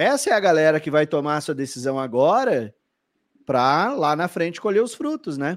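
With a strong gaúcho accent, a man speaks in an animated tone at a moderate pace. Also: fairly high pitch for a man, lively intonation. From southern Brazil, Porto Alegre. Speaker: podcast host and flight attendant coach. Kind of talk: live-streamed interview podcast. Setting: live stream video call.

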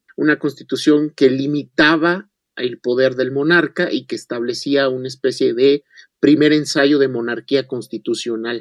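A fairly high-pitched man with an ordinary speaking voice, fairly slow and fairly even in intonation, recorded dry and close with no echo. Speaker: historian. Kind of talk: radio interview, history lecture.

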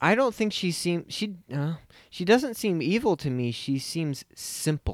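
In a very clean recording with a silent background, a man with a high voice talks fairly slowly, his pitch swinging very widely. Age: 30s. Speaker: film podcast co-host. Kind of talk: casual chat.

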